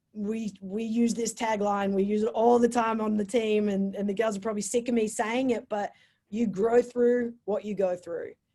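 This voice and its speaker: In an Australian accent, a woman speaks at a fairly high pitch with a dark, mellow tone. Her pace is moderate and her intonation fairly even. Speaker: college sports coach. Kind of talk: motivational talk.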